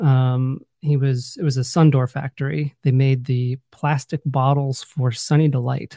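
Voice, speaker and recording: At a fairly slow pace with hardly any pauses, a man with an American accent speaks in a medium-pitched, somewhat breathy voice with a dark, mellow tone and fairly even intonation, the sound dry and close with no echo. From US Midwest (northwest Ohio, rural). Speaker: author. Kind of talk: interview.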